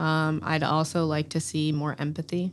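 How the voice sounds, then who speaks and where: A very deep, low-pitched female voice with an American accent. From US South, Durham, North Carolina. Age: 20s. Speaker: professional soccer player. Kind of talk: interview.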